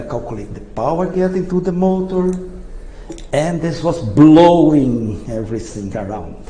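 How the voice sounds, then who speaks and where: Recorded with audible room echo and noticeable background noise, a man with a non-native accent speaks with lively intonation. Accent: non-native English pronunciation. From Brazil. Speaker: engineer, inventor. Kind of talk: lecture. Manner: halting.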